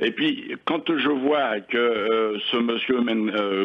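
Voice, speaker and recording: Noticeable background noise runs under this clip. The man's medium-pitched voice shows ordinary pitch variation. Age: 60s. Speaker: retired caller. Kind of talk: radio call-in.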